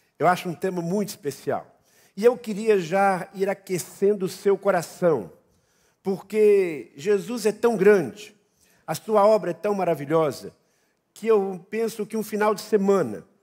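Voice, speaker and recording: A man with a high pitch talks at a fairly slow pace, using ordinary pitch variation. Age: 60s. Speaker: pastor. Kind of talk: sermon. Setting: church.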